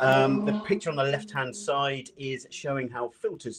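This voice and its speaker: A man with a British accent, medium pitch and a fairly quick pace, against a quiet background. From UK. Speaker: data analytics presenter; presenter. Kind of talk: software tutorial presentation. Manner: fast. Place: home room.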